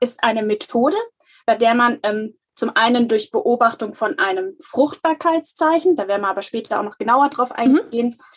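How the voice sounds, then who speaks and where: A woman at a high pitch, lively in intonation, at a moderate pace. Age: 30s. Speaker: natural family planning counselor. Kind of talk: interview.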